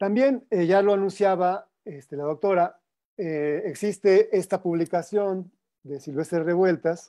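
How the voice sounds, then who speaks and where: Against a quiet background, a man talks at a high pitch and a fairly slow pace, with ordinary pitch variation. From Mexico. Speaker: music and recordings researcher; panelist. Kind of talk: presentation. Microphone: video call.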